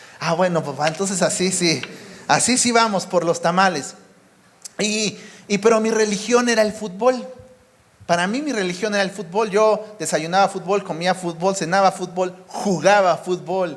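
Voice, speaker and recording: Audible echo from the room surrounds the voice. Noticeable background noise runs underneath. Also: man, high pitch for a man, ordinary pitch variation, moderate pace. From Mexico City area. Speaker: preacher. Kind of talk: sermon.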